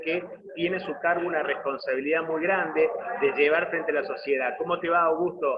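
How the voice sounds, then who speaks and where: With noticeable background noise behind him, a man speaks in an Argentine accent at a fairly high pitch. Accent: Argentine Spanish (voseo). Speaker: interview host. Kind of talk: interview.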